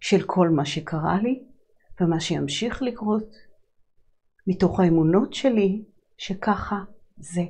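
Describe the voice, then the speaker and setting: Against a quiet background, a woman speaks at a very slow pace with long, frequent pauses, her tone calm, dark and mellow, somewhat breathy, with ordinary pitch variation. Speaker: holistic psychologist and sound healer hosting a show. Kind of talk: reflective monologue on personal growth. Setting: live broadcast. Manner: calm, flowing, spiritual. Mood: calm, reflective, warm. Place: studio.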